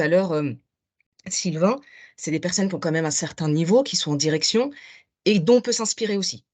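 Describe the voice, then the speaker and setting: Against a quiet background, a woman talks fairly quickly at a medium pitch with lively intonation. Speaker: participant. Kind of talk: comment in online masterclass. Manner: fast.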